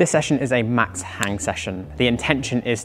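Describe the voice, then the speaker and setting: A man with a fairly low pitch speaks over music in the background. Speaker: climbing coach. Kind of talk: tutorial. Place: gym. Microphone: lapel.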